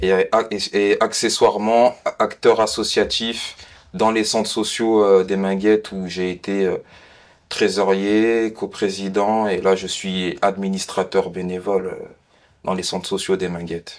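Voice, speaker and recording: A man at a very slow pace, fairly low in pitch, with monotone, flat intonation. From France, Vénissieux (Lyon suburbs). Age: 20s. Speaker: student and community volunteer. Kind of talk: interview testimony. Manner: halting.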